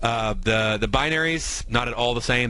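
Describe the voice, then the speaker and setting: Through audible room echo, a man speaks in a bright, sharp tone with fairly even intonation. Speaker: radio trading show host. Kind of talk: trading tutorial on radio. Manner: fast.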